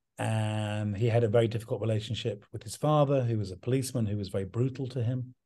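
A man with a southern English accent speaks very fast, with hardly any pauses, in a medium pitch and a dark, mellow, somewhat breathy tone. His intonation is fairly even, and the background is quiet. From English countryside. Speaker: artist's son and representative. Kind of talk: interview.

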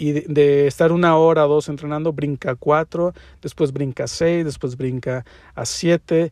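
On a dry, close recording with no echo, a man speaks fairly slowly in a fairly high pitch. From Mexico. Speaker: podcast host and interior design teacher. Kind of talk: solo podcast monologue. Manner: casual with many fillers.

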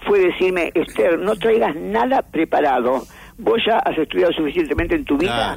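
A woman talks with a fairly low pitch while noticeable background noise can be heard. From Argentina. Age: 80s+. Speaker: philosopher and writer. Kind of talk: interview.

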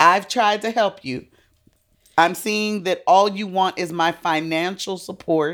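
A woman at a fairly slow pace, medium in pitch with ordinary pitch variation, in a normal speaking voice. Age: 50s. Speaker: podcast guest. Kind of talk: casual chat.

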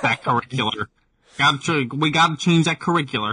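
Dry and close with no echo, the recording captures a man. He uses a put-on character voice at a fairly high pitch. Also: fairly quick pace.

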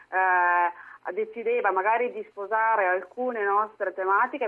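A woman speaks in a normal speaking voice at a medium pitch, her intonation fairly even. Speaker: politician. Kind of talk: political interview.

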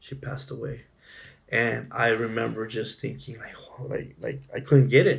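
The speaker is a man with an American accent and a medium-pitched voice. He talks at a moderate pace with vocal fry. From southern California (Imperial County). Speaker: family social worker. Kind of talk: interview testimony. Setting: in person, San Diego.

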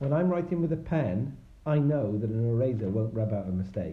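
Speaking with a Welsh accent, a man sounds somewhat breathy at a fairly quick pace. His pitch swings very widely, and room echo is audible. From Wales. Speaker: tech worker, parent guest. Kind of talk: casual chat. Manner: hesitant, many fillers.

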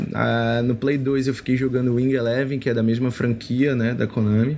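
The recording carries noticeable background noise. Through it, a man talks at a medium pitch. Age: 20s. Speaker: football fan guest, PE teacher and personal trainer. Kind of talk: casual chat.

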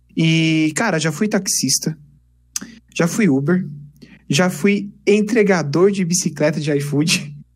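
A man speaks very slowly at a high pitch with ordinary pitch variation, leaving long, frequent pauses. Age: 20s. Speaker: engineering student and YouTuber. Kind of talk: casual interview chat. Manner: animated.

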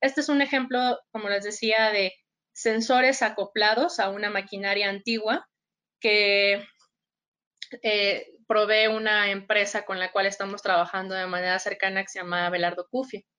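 Against a quiet background, a woman speaks at a moderate pace with a medium pitch and ordinary pitch variation. Her tone is bright and sharp. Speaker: biologist and agtech data specialist. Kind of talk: webinar presentation.

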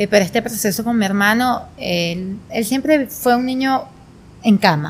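A woman speaks at a moderate pace in a somewhat breathy voice. Her pitch varies in an ordinary way. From Venezuela, Portuguesa state. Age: 20s. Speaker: spinning instructor and entrepreneur. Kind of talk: casual interview.

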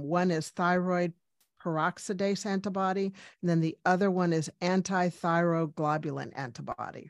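A plain, everyday voice from a woman, fairly low in pitch, moderate in pace, fairly even in intonation, over a quiet background. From US, Cuban-American family, Washington DC. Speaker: medical doctor. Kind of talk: interview.

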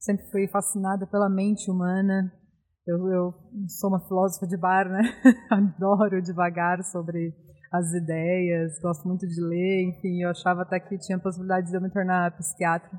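A woman at a medium pitch and moderate pace, with monotone, flat intonation. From interior of São Paulo state, Brazil. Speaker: beer hunter and former journalist. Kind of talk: casual interview chat.

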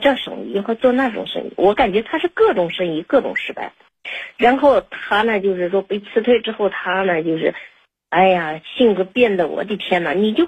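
A woman speaks at a moderate pace with a medium pitch and lively intonation. Her voice is somewhat breathy. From China outside Liaoning. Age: 40s. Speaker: caller. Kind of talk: personal story on call-in. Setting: phone call. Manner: halting, many fillers.

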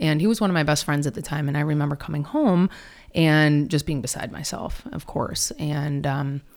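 Her voice very deep and low, a woman speaks at a fairly quick pace with ordinary pitch variation. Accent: Michigan. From Detroit, Michigan. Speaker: wellness speaker and author. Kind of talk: casual interview.

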